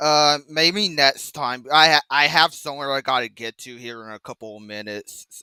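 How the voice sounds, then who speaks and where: A man with an American accent speaks in a fairly high, bright, sharp voice with ordinary pitch variation and big swings in loudness. He keeps a moderate pace with hardly any pauses, in a dry, close sound with no echo and a very clean recording with a silent background. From Texas. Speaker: viewer calling in. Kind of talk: casual chat.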